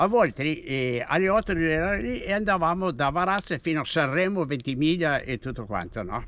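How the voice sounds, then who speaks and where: A man is speaking. His voice has vocal fry. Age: 80s+. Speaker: retired cyclist and runner. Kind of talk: casual chat.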